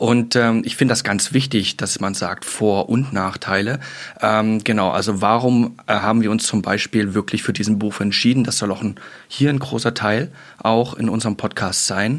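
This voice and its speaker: A plain, everyday voice at a moderate pace, with fairly even intonation. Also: man, medium pitch for a man. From German border region. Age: 30s. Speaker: police recruitment adviser, podcast host. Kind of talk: casual panel chat. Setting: studio.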